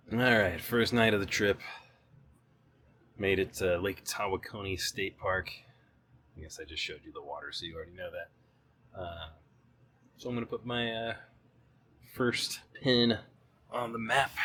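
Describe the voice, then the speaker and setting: A quiet man's voice with an American accent, medium in pitch, at a moderate pace, with long, frequent pauses, big swings in loudness and ordinary pitch variation. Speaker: travel vlogger. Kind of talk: casual vlog narration. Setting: campsite outdoors at night. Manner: quiet, low volume.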